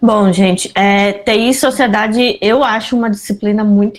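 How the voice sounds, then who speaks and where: In a southern Brazilian accent, the somewhat breathy voice shows ordinary pitch variation on a very clean recording with a silent background. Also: woman. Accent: gaúcho. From southern Brazil, Pelotas, Rio Grande do Sul. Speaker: university professor. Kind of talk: interview.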